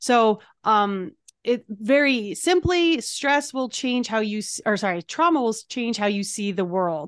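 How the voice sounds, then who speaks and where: Against a quiet background, a woman speaks with an unremarkable speaking voice. Her pitch is fairly high and her intonation lively. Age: 40s. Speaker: EFT practitioner and transformation coach. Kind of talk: interview; guided exercise.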